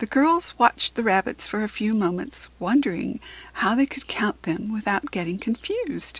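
Lively intonation marks this plain read-aloud passage.

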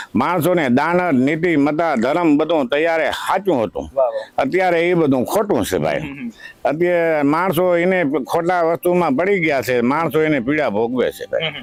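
Over noticeable background noise, a man with a fairly high pitch speaks at very even loudness and with ordinary pitch variation. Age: 70s. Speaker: village elder. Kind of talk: interview.

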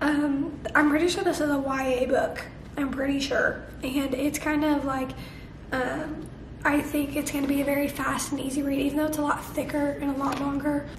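Through noticeable background noise, a woman talks at a moderate pace in a high pitch with monotone, flat intonation. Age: young. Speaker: book vlogger. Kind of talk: casual talk to camera.

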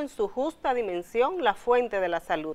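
A woman speaks at a moderate pace, her pitch swinging very widely. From Dominican Republic, Salcedo; Dominican Republic. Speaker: TV health show host and health journalist; health journalist guest. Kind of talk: talk show conversation. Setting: studio. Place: studio. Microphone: lapel.

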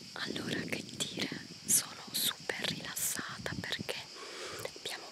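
A woman speaks at a very slow pace against loud background noise, in a dry sound with no echo. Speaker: vlogger. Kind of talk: casual vlog chat. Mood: relaxed. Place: forest. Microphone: phone near.

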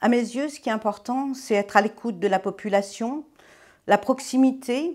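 A woman's fairly slow speech, with ordinary pitch variation, sits over a quiet background. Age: 50s. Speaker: deputy mayor and civil servant, election candidate; deputy mayor, election candidate. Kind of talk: campaign interview. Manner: hesitant, many fillers. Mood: calm, positive. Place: studio.

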